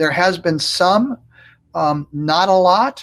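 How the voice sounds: A man with a fairly bright tone, high pitch, lively intonation and a slow pace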